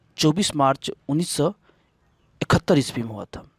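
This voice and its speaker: A man's voice with ordinary pitch variation, in a dry, close sound with no echo. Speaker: story narrator. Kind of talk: literature lesson introduction.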